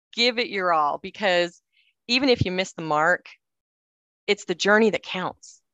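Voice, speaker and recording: With an American accent, a woman speaks at a moderate pace and medium pitch, showing ordinary pitch variation and long, frequent pauses. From Cedar City, southern Utah. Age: 50s. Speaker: author and former TV journalist. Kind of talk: interview.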